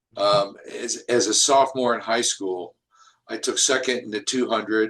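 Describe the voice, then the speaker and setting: Someone speaks with a Midwestern accent at a fairly slow pace. The intonation stays fairly even. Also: man. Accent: General American (Midwest). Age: 70s. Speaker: Marine veteran. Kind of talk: interview. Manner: hesitant, many fillers.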